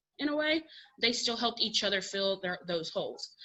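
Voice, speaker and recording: Against a quiet background, a woman with a fairly high, bright, sharp voice swings her pitch very widely. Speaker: middle school agriculture teacher. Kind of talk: conference presentation. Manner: fast.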